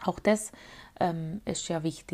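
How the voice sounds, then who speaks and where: The recording is very clean, with a silent background. A woman speaks very slowly and somewhat breathily. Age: 30s. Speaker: podcaster and amateur poet. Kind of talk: casual monologue. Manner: hesitant, many filler sounds.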